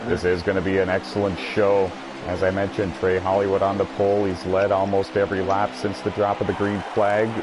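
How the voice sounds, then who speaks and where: This man's pitch is fairly low and his intonation monotone and flat. He moves at a fairly quick pace with very even loudness, over noticeable background noise. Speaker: sim racing commentator. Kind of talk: live commentary. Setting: broadcast booth.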